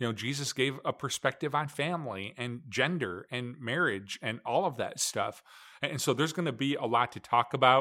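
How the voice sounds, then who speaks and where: Speaking with an American accent, a man has a bright, sharp tone, a medium pitch and ordinary pitch variation at a moderate pace, in a very clean recording with a silent background. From Michigan. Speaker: minister. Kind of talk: casual chat. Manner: halting.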